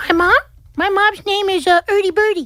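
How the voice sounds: Noticeable background noise runs throughout. The speech moves along at a moderate pace. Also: woman, extremely high pitch for a woman, ordinary pitch variation.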